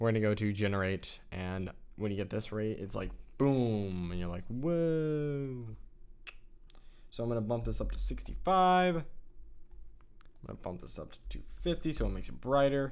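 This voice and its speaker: With audible room echo around him, a man at medium pitch swings his pitch very widely and leaves long, frequent pauses. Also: moderate pace. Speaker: video editing tutorial creator. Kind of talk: tutorial. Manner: halting, filler-heavy; casual, thinking aloud.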